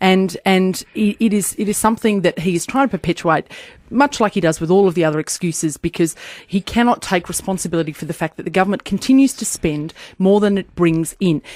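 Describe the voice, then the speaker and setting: A woman with an Australian accent speaks at a fairly quick pace and medium pitch with ordinary pitch variation, in a dry, close sound with no echo. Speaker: federal politician. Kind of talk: political debate on radio. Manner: animated.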